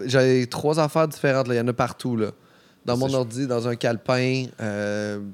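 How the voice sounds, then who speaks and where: In a Quebec accent, the speaker keeps fairly even intonation at a moderate pace. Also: man, medium pitch for a man. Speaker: comedian. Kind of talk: casual chat. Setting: studio.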